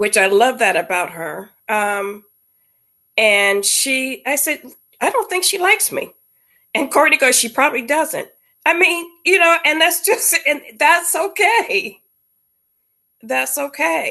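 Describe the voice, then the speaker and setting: With a bright, sharp tone and a raised, projected voice, the speaker goes at a very slow pace, taking long, frequent pauses amid very wide pitch swings. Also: woman, high pitch for a woman. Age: 60s. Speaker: guest on a sister's interview show. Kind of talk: casual chat.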